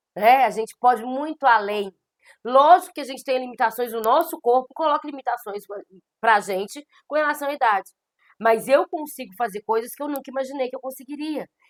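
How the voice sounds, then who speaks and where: A woman with a high pitch talks at a fairly quick pace with ordinary pitch variation. The sound is dry and close with no echo. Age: 40s. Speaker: law teacher. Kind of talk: lecture. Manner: conversational.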